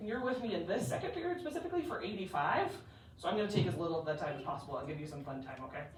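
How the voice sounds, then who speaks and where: A woman in an animated tone at a very fast pace, with very wide pitch swings and audible room echo. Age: 30s. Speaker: teacher. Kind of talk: classroom introduction. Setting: classroom.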